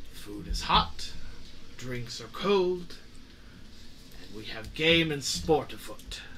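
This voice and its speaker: A man in a put-on character voice at a very slow pace, full of long, frequent pauses over clear background noise. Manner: hospitable, confident.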